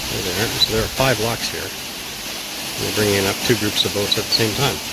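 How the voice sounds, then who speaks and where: Amid noticeable background noise and audible room echo, a man talks at a moderate pace with a fairly low pitch and fairly even intonation. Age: old. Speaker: sailing vlogger. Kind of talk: casual vlog commentary.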